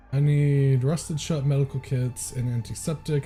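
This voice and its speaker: A man with a dark, mellow, somewhat breathy tone speaks at a moderate pace with fairly even intonation. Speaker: streamer. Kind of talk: casual chat.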